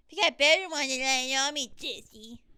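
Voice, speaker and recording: A female-sounding, put-on character voice, high in pitch and at a fairly quick pace. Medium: solo performance. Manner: playful, jokey.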